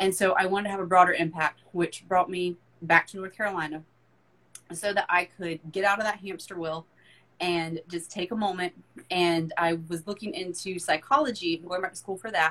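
A woman with an American accent speaks in a normal speaking voice at medium pitch, moderate pace and fairly even intonation. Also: big swings in loudness. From US South, rural. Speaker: fitness and mindset coach. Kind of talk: casual interview chat.

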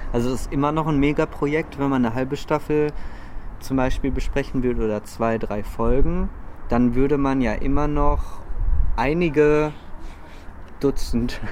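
With audible room echo and noticeable background noise, a man speaks in fairly even intonation, leaving long, frequent pauses. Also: fairly high pitch for a man, moderate pace. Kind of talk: casual chat. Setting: outdoors on a lookout tower at night.

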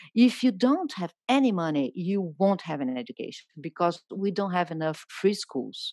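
Speaking with a Brazilian accent, a woman at a medium pitch moves at a moderate pace with hardly any pauses and very wide pitch swings, the sound dry and close with no echo. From Brazil, Rio de Janeiro. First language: Portuguese. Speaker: journalist and writer. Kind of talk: interview conversation.

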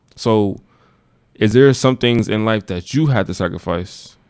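A man's fairly low voice at a moderate pace, a normal speaking voice with ordinary pitch variation. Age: 20s. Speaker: college radio host. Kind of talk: casual interview.

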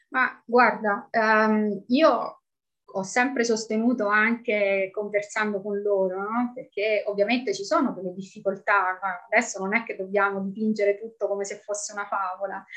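A woman speaks at a medium pitch and a moderate pace. Hers is an unremarkable speaking voice. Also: fairly even intonation. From Italy, Rome. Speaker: expat mother. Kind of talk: interview.

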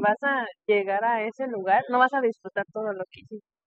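With an unremarkable speaking voice, a woman speaks at a moderate pace and fairly high pitch with ordinary pitch variation. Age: 30s. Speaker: nurse and podcast host. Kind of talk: casual interview. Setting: in person recording.

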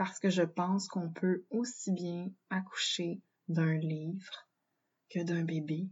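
This woman speaks with a Quebec accent at a very slow pace. Her voice is fairly low in pitch and somewhat breathy. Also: fairly even intonation. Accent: Québécois French. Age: 30s. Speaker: podcast host and birth doula trainee. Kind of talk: solo monologue. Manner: hesitant, many fillers.

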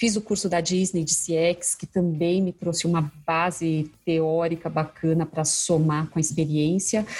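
A woman speaks at a fairly low pitch in a somewhat breathy, monotone, flat voice. Her pace is fairly slow, with hardly any pauses. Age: 40s. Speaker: customer experience specialist. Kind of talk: casual interview chat.

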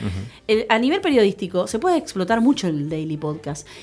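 A woman's medium-pitched voice with very wide pitch swings at a fairly quick pace, in a very clean recording with a silent background. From Buenos Aires, Argentina. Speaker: podcast review columnist. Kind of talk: casual radio interview chat.

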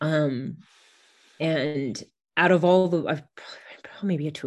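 Over a quiet background, a woman with a Californian accent speaks at a very deep, low pitch with fairly even intonation. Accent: general American (Californian). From California, US. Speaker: bestselling author. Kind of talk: casual interview conversation.

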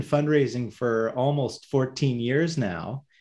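This man has a Canadian accent and a fairly high pitch. He speaks at a very slow pace. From Ontario, Canada (Hamilton). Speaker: non-profit CEO. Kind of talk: interview. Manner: halting, many fillers.

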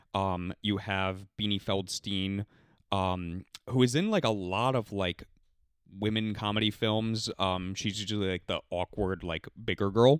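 A man has a normal speaking voice, fairly low in pitch, with fairly even intonation and a fairly slow pace. The sound is dry and close with no echo, a very clean recording with a silent background. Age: 30s. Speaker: podcast host. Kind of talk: casual chat.

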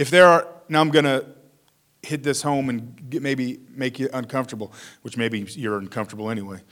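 A man talks at a fairly high pitch and a moderate pace with lively intonation. It is a normal speaking voice. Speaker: pastor. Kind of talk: sermon. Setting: church.

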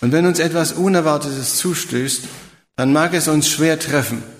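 A man at a fairly high pitch and fairly slow pace, with ordinary pitch variation and audible room echo. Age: 70s. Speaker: preacher. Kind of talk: sermon.

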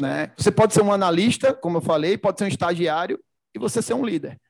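A man with a Recife accent talks at a fairly quick pace with ordinary pitch variation. The recording is very clean and dry, close with no echo, over a silent background. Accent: Pernambuco (Recife). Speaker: logistics executive. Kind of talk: casual interview.

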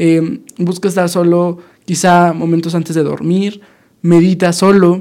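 A man speaks at a fairly slow pace in a high pitch, his intonation monotone and flat. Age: 20s. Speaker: podcast host, university student. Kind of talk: casual monologue. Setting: studio.

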